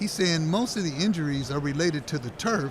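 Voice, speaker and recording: A man's fairly high voice, moving at a moderate pace with lively intonation, is heard over noticeable background noise. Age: 60s. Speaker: sports talk host. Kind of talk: interview. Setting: radio row broadcast booth.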